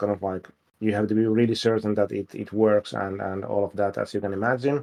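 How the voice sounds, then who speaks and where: This voice carries a Finnish accent. It moves at a fairly quick pace. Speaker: game developer. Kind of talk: livestream Q&A. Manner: hesitant, many fillers.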